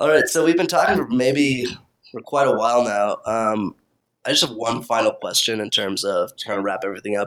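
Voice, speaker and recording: A man speaks with an American accent in an ordinary speaking voice. His pitch is medium with ordinary variation, and his pace is fairly quick. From Kansas, US. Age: 20s. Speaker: interviewer, friend of host. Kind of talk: casual interview.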